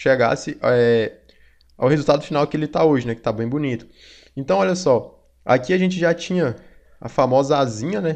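Against a quiet background, a man speaks at a moderate pace with lively intonation and a fairly high pitch. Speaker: design instructor. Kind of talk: tutorial. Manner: casual, with many fillers.

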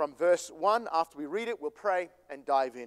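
Against a quiet background, a man talks with a high pitch and ordinary pitch variation. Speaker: pastor. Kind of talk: sermon. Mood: calm, conversational. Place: church.

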